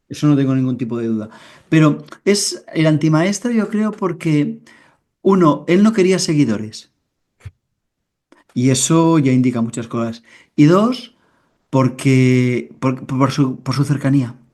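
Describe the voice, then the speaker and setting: Pausing long and often, a man with a fairly high pitch and a dark, mellow tone speaks at a fairly slow pace with lively intonation. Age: 60s. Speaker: writer and inner-work guide. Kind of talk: interview.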